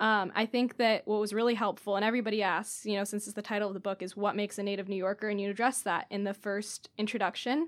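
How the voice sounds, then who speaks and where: A woman talks very fast at a medium pitch, with hardly any pauses. Her intonation stays fairly even. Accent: American. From San Diego, California. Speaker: newspaper intern. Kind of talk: casual chat.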